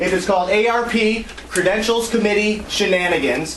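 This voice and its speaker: With an American accent and a passionate, animated tone, a man speaks at a high pitch with ordinary pitch variation, amid audible room echo and noticeable background noise. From Detroit, US Midwest. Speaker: party member facing charges. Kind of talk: heated meeting testimony. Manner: loud.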